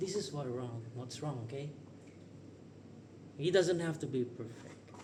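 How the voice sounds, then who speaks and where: A man's fairly high voice with a non-native accent, fairly slow pace, ordinary pitch variation, and audible room echo. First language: not English. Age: 30s. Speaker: vlogger. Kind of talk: casual monologue. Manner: unscripted, rambling pauses.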